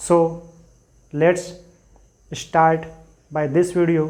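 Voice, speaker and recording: A man's high-pitched voice in an Indian accent, very slow and in a monotone, flat intonation, with audible room echo. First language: Hindi. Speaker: English teacher. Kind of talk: tutorial. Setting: classroom with board.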